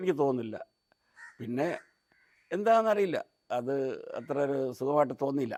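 Lively intonation from a man with a fairly high voice. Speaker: YouTuber giving film opinions. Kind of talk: solo vlog monologue. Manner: halting, many pauses.

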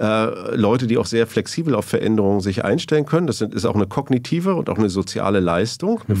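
A man talks at a very fast pace with lively intonation and a fairly low pitch. The background is quiet. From East Germany (GDR). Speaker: sociologist and professor; professor. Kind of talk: long-form interview. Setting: studio. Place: studio. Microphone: studio mic.

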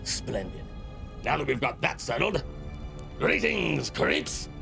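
Over clear music in the background, a man does a put-on character voice at medium pitch with big pitch swings, vocal fry and a slow pace.

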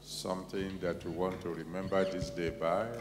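Over noticeable background noise comes a man's very deep, low voice. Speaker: pastor leading prayer. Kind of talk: sermon. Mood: solemn, prayerful. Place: church. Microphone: handheld.

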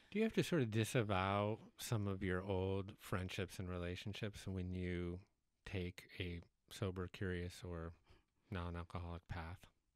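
A man talks at a fairly slow pace with a very deep, low pitch and monotone, flat intonation. The sound is dry with no echo, and the background is quiet. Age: 40s. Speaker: podcast host. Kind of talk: interview conversation. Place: studio. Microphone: studio mic.

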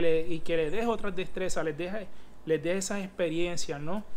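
High pitch for a man, with fairly even intonation, in a male voice. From Puerto Rico. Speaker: physical education teacher and fitness coach; physical education teacher, fitness coach. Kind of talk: tutorial. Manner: halting, many fillers. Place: home room. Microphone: phone near.

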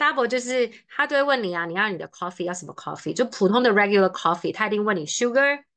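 Against a quiet background, a woman with a fairly high pitch and lively intonation speaks at a very fast pace. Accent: Taiwanese. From Taiwan, Taipei; Taiwan. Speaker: study-abroad consultant; presenter. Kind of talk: online seminar presentation. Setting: video call. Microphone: webcam.

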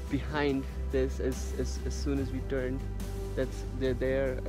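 A man speaks at a very slow pace. Clear music plays behind him, and the sound is dry with no echo. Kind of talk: casual vlog chat. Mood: awed, hopeful. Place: open country. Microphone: phone near.

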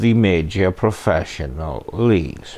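A man speaks at a very slow pace. His tone is dark and mellow. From UK. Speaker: true crime channel host. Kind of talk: scripted narration. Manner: sardonic. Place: home room.

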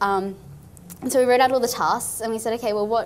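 Over light background noise, a woman with an Australian accent talks at a very fast pace, her pitch fairly high and her intonation fairly even. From Far North Queensland, Australia. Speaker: engineer and nonprofit founder. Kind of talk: interview. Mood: cheerful, animated. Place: studio.

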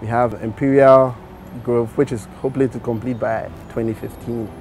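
A man's voice at a moderate pace with fairly even intonation, dry sound with no echo, and music in the background. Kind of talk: interview answer. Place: street.

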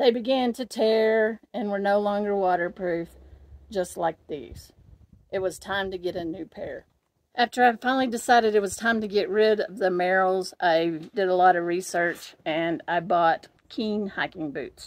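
Her pitch shifts in an ordinary way. The woman keeps to a moderate pace. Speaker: gear reviewer. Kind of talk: casual vlog chat.

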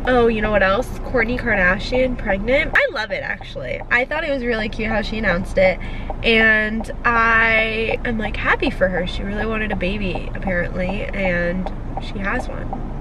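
A woman speaks in a dry recording with no echo, against noticeable background noise. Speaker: vlogger. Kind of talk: casual vlog chat. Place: car. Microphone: phone near.

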